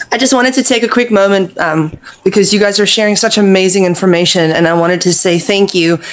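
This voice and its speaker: A woman's medium-pitched voice at a very fast pace, with ordinary pitch variation, very even loudness and noticeable background noise. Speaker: participant. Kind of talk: casual chat. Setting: video call.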